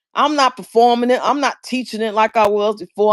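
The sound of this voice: A medium-pitched woman at a moderate pace, her intonation fairly even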